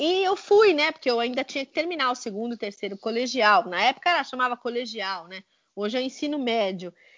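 A woman with a high pitch talks at a fairly quick pace, her pitch swinging very widely. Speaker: author and linguist. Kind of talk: interview conversation. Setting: Skype call.

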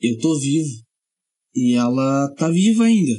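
At a very slow pace, a man talks with a dark, mellow tone and a fairly high pitch. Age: 20s. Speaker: podcast host and musician. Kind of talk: casual solo podcast monologue.

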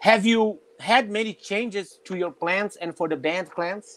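A man with a high voice talks fairly slowly, his pitch varying in an ordinary way. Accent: Portuguese. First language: Portuguese. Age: 40s. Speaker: drummer and web show host. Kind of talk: interview; casual chat. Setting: video call.

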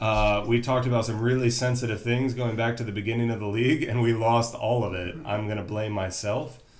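Fairly quick and with hardly any pauses, a man talks at a medium pitch with fairly even intonation. He has a plain, everyday voice. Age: 30s. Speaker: podcast host. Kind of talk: casual chat.

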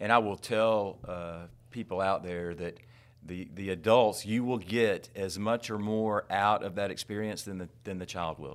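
Speaking fairly slowly in an unremarkable speaking voice, a man with an American accent keeps a fairly low pitch and fairly even intonation, with big swings in loudness. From US South, Tallahassee, Florida. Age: 50s. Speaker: school superintendent. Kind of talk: interview conversation.

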